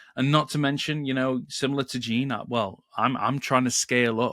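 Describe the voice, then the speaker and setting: A man with a British accent speaks at a moderate pace in a very clean recording with a silent background and a dry, close sound with no echo. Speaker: podcast co-host, Google Ads manager. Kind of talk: casual podcast chat.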